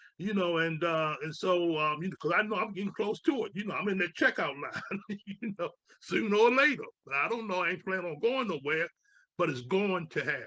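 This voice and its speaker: A man speaks in a raised, projected voice, high in pitch, with a bright, sharp tone and lively intonation. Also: fairly quick pace. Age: 70s. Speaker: radio host. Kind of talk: interview.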